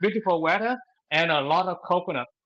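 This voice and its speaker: This is a man speaking. His voice sits high in pitch. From Ben Tre, Vietnam. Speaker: English learner, travel company planner. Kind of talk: self-introduction. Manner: halting.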